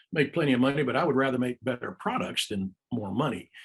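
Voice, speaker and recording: The man speaks at a medium pitch. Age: 60s. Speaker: marine biologist and inventor. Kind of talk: casual chat. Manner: halting.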